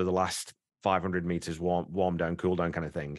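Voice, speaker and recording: A man talks at a very fast pace with a very deep, low pitch. The background is quiet. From northern England. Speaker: podcast host. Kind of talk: casual podcast discussion.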